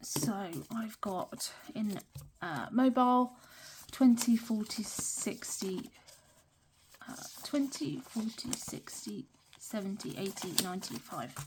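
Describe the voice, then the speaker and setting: A woman with a British accent speaks very slowly, leaving long, frequent pauses. Her pitch is fairly high and her loudness swings widely. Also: lively intonation. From UK. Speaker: budgeting vlogger. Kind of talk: casual talk-through tutorial. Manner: hesitant, many fillers.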